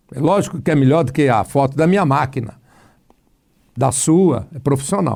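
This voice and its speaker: A man speaks at a moderate pace and a fairly high pitch, somewhat breathy, with ordinary pitch variation. He takes long, frequent pauses. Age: 60s. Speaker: pastor. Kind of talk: casual chat. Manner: animated.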